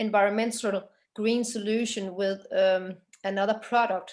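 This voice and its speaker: A woman's fairly high voice, fairly even in intonation, at a very slow pace. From Denmark. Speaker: workshop participant. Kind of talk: discussion in online workshop.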